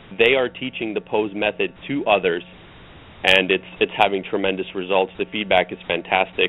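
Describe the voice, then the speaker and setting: Using an ordinary speaking voice, a man talks at a moderate pace and a fairly low pitch. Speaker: running coach. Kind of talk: interview. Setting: phone call.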